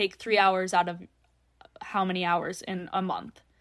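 Against a quiet background, the speaker moves at a fairly slow pace. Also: woman. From North Dakota. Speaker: podcast guest sharing personal story. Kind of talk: casual interview conversation.

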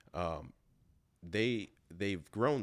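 A man with an American accent, vocal fry and lively intonation. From Kenosha, Wisconsin, US Midwest. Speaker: professional bodybuilder and personal trainer. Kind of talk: casual interview chat.

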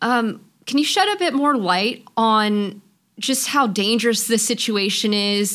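Her fairly high voice is a normal speaking voice, as the woman talks at a fairly slow pace with very even loudness. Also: ordinary pitch variation. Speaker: podcast host. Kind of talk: interview.

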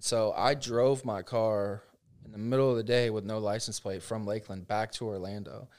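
On a very clean recording with a silent background, a man speaks in a normal speaking voice, fairly low in pitch. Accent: American. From Central Florida. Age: 20s. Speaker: real estate agent. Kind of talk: casual interview.

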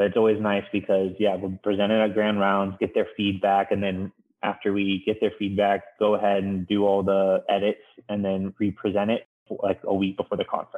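A man with an American accent speaks at a moderate pace in a fairly low pitch with monotone, flat intonation. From San Diego, California. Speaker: plastic surgery resident. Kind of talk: interview. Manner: casual, filler-heavy.

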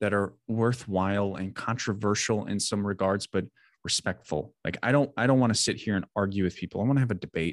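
Recorded with a dry, close sound and no echo, a man with a fairly low pitch and an American accent speaks in an unremarkable speaking voice with ordinary pitch variation. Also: quiet background. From US Midwest, southern Wisconsin. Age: 30s. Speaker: military veteran and mental health coach. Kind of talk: podcast interview.

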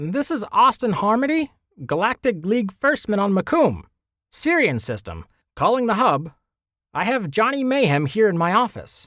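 In a very clean recording with a silent background, a man uses a put-on character voice at a high pitch, swinging it very widely at a moderate pace. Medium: read story. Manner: gruff, then nervous and frightened.

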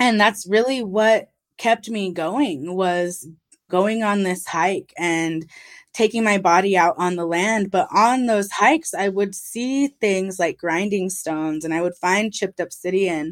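A woman with an American accent talks at a medium pitch and a fairly slow pace with ordinary pitch variation, in a very clean recording with a silent background. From Owens Valley, California (Paiute reservation). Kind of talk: interview conversation. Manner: passionate.

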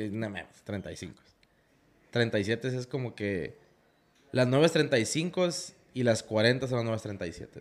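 A man talks at a very slow pace, his voice at medium pitch. He pauses long and often, with ordinary pitch variation. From Tijuana, Baja California, Mexico. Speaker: off-road content creator. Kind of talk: casual interview chat. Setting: workshop recording space.

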